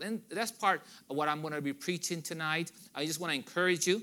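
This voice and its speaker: This man has a Spanish accent and a bright, sharp tone. He speaks at a fairly quick pace. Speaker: visiting missionary preacher. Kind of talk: sermon. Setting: church with congregation. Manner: halting, with many fillers.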